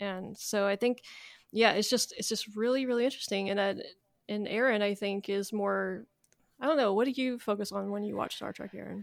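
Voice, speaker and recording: A woman's unremarkable speaking voice, medium in pitch, at a fairly quick pace with fairly even intonation. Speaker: podcast co-host. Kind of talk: casual chat about Star Trek.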